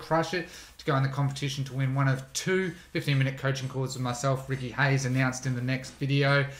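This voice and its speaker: A somewhat breathy voice at a fairly quick pace. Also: man. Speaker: online business educator; online ads tutor, channel host. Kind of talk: tutorial. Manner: fast; casual, with fillers. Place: home room.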